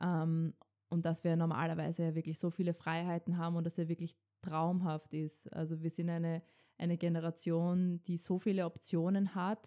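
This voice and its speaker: In a Viennese accent, a woman speaks at a moderate pace with a dark, mellow tone and monotone, flat intonation. Her loudness is very even, the sound dry and close with no echo, on a very clean recording against a silent background. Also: fairly low pitch for a woman. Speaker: podcast co-host, student. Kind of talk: casual chat; scripted intro.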